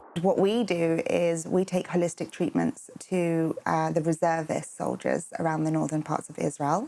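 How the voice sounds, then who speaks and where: A woman speaks with a London accent at a moderate pace. She barely pauses at all. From London, England. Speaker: holistic therapist. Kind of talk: interview.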